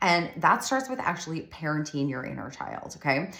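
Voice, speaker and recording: A woman's voice with audible room echo. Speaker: business coach for solo moms. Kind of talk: online course lesson. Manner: casual, conversational.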